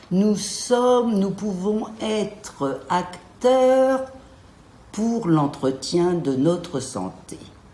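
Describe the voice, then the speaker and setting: A woman's very slow speech with very wide pitch swings, amid noticeable background noise and audible room echo. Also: medium pitch for a woman. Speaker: gynecologist. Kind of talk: interview. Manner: hesitant, frequent euh.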